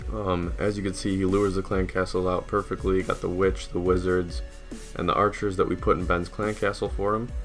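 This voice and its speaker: A man talking at a fairly quick pace, with music in the background. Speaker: gaming commentator, Clash of Clans war recap. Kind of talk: casual talk to camera.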